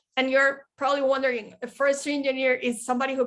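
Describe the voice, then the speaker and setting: Her pitch high, a woman talks with a Spanish accent. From Colombia, Medellin. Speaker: bird conservationist and forestry engineer. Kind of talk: presentation. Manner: halting.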